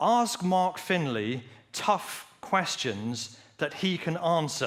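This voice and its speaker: Pitched fairly high, a man's voice moves in very wide pitch swings. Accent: English. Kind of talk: lecture.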